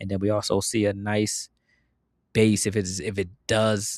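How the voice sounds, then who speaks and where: A man with an ordinary speaking voice talks at a fairly low pitch and fairly slow pace, the recording very clean with a silent background and a dry, close sound with no echo. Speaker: investing video host. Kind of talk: casual market commentary. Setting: outdoors in backyard at night.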